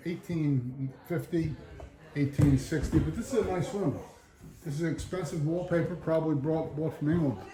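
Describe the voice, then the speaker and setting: A man's fairly high voice amid noticeable background noise. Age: 70s. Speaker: travel vlogger. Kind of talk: tour walkthrough and casual chat. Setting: walking tour of an outdoor folk museum.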